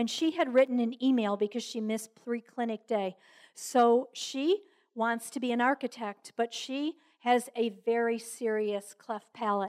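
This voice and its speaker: A woman's normal speaking voice, fairly high in pitch and at a fairly slow pace, dry and close with no echo, on a very clean recording with a silent background. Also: fairly even intonation. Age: 60s. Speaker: Rotary club speaker and volunteer. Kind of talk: talk to a club. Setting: club luncheon with audience. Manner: conversational with fillers.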